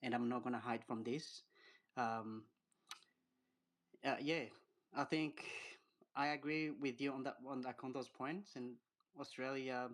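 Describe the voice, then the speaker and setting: With an African accent, a man talks at a medium pitch, with fairly even intonation and a fairly slow pace. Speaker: caller, African migrant. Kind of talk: casual discussion in group voice chat.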